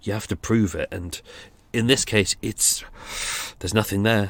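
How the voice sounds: A man speaks at a moderate pace in a fairly low pitch.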